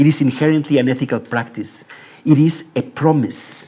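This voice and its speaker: A man's dark, mellow voice with a Spanish accent. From Mexico. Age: 60s. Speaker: architecture professor. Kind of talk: lecture. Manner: formal; halting.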